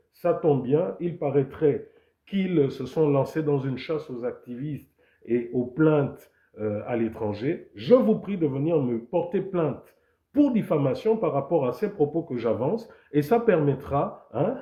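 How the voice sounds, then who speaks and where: A man speaks fairly slowly in a fairly high, somewhat breathy voice. His pitch swings very widely. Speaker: political activist live streamer. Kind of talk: live stream commentary. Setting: live stream.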